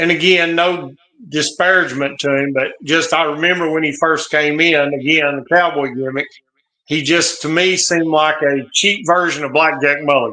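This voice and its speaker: Speaking at a moderate pace with a Southern US accent, a man keeps a fairly high pitch and fairly even intonation. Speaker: wrestling channel guest. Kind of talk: live watch-along commentary.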